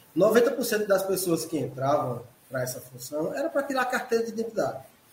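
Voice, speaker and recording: Noticeable background noise lies under a man's high-pitched voice. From Pernambuco, Brazil (Caruaru). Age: 50s. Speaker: forensic expert. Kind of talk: casual interview.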